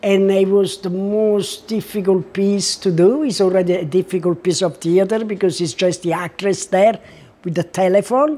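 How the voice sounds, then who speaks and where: A woman with a strong Italian accent speaks at medium pitch and a moderate pace in a dark, mellow tone. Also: ordinary pitch variation. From Italy. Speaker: artist and former actress. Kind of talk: interview. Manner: halting.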